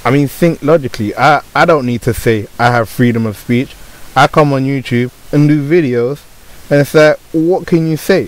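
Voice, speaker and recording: With a British accent, a man speaks with ordinary pitch variation. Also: fairly high pitch for a man, moderate pace. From Britain. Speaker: YouTuber. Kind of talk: unscripted rant to camera.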